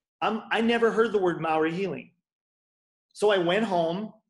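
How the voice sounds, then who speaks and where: A man's voice with ordinary pitch variation. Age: 40s. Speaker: chiropractor and bodyworker. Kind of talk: casual interview chat.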